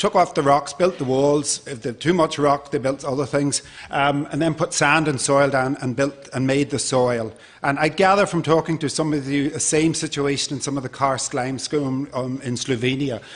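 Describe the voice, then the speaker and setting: A man with an Irish accent, fairly high-pitched, speaking at a moderate pace with fairly even intonation. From Ireland. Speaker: conservation project manager. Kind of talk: conference presentation.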